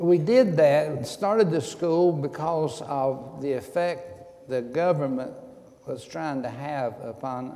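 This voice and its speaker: A man with an East Tennessee accent and a fairly high pitch speaks at a very slow pace. Audible room echo and noticeable background noise fill the recording. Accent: Southern US (East Tennessee). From US South. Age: 70s. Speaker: retired pastor. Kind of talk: interview. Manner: halting.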